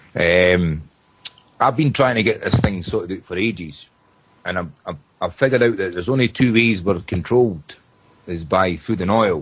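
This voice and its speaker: A man with a very deep, low voice speaks in a Scottish accent at a moderate pace. His pitch varies in an ordinary way, and he leaves long, frequent pauses. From Scotland, Edinburgh area. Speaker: caller. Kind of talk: casual chat.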